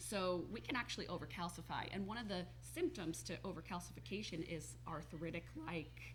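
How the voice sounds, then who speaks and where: A woman at a fairly quick pace, with hardly any pauses and audible room echo. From New Jersey. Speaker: holistic health coach. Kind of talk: TV talk show interview.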